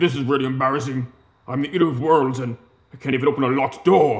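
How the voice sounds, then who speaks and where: A man puts on a character voice at a medium pitch. He races along at a very fast pace. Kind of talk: acted comic monologue in character voice. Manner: embarrassed. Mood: frustrated, embarrassed.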